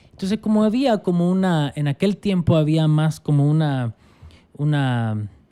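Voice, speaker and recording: A man with a Salvadoran accent has a fairly high voice with a dark, mellow tone, lively intonation and very even loudness. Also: fairly slow pace. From El Salvador. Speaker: pastor. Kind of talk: casual interview conversation.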